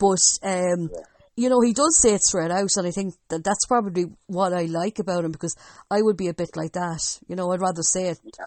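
In an Irish Midlands accent, a woman speaks at a fairly quick pace. Her pitch is medium, with ordinary variation. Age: young. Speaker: sports podcast host. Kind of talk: casual sports chat.

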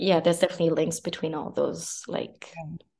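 Dark and mellow in tone, a woman speaks at a fairly low pitch. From Montreal, Quebec. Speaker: visual artist. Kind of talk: interview. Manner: hesitant, many fillers.

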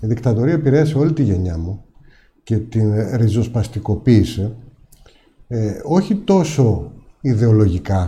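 A man talks at a fairly slow pace with long, frequent pauses and lively intonation. His tone is dark and mellow, and somewhat breathy. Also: medium pitch for a man. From Greece, Ikaria. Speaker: businessman and parliamentary candidate. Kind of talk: political interview.

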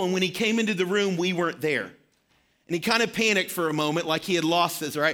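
Very fast and raised to project, a man's high-pitched voice carries a slight Southern US accent and ordinary pitch variation on a very clean recording with a silent background. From Arkansas. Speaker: pastor. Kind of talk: sermon. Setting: church.

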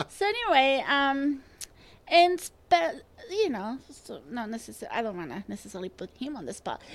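A woman with a high pitch speaks with very wide pitch swings and big swings in loudness. Noticeable background noise runs under her voice. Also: moderate pace. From Spain. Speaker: transplant coordinator. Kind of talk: casual interview. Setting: studio. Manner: halting.

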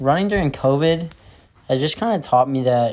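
With an ordinary speaking voice, a man talks at a fairly high pitch and a fairly quick pace. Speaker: college student runner. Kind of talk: interview.

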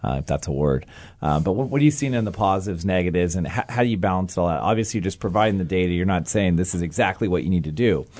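A man speaks with a very deep, low pitch. His pace is very fast. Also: lively intonation. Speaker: podcast host. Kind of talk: interview. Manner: fast talker.

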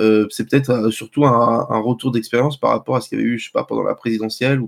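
A man at a medium pitch talks with monotone, flat intonation. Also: dry, close sound with no echo. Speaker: media pundit. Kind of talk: casual panel discussion.

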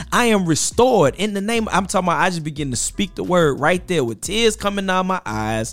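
There is noticeable background noise in this clip. A man talks at a fairly quick pace. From US South, Mississippi Gulf Coast. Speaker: author. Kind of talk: casual chat.

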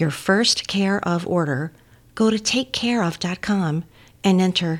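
Against a silent background on a very clean recording, a woman in an ordinary speaking voice talks at a fairly slow pace and medium pitch with lively intonation. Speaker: co-host and interviewer. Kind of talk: casual interview chat.

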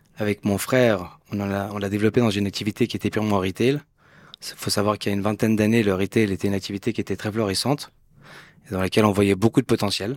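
Dry and close with no echo, the voice races at a very fast pace with fairly even intonation. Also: man, fairly low pitch for a man. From Switzerland, Geneva. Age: 40s. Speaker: entrepreneur. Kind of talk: interview.

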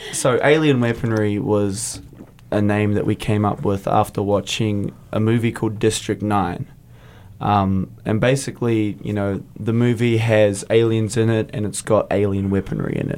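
Here a man speaks with a New Zealand accent and a fairly low pitch. His pace is moderate and his intonation fairly even. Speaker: metal guitarist and lead vocalist. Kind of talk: casual interview. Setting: studio.

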